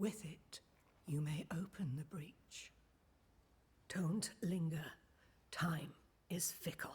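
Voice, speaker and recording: A put-on character voice at a middle pitch moves at a very slow pace with long, frequent pauses. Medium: video game. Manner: cryptic, measured.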